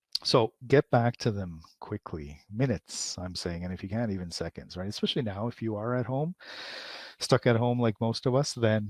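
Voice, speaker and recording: A man with a plain, everyday voice speaks at a medium pitch and a moderate pace, with ordinary pitch variation and a dry, close sound with no echo. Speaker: marketing instructor. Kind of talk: webinar presentation. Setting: live webinar.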